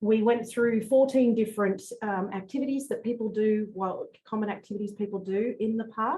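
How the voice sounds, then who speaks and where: This woman has a fairly high, somewhat breathy voice with a dark, mellow tone. Her intonation stays fairly even and she hardly pauses at all. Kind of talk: presentation about reef practices. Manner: fast talker.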